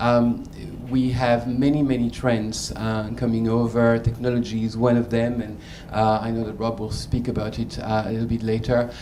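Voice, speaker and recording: Over noticeable background noise and audible room echo, a man at medium pitch talks at a moderate pace in a monotone, flat intonation. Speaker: learning and development executive, panelist. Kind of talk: panel discussion. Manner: halting, many fillers.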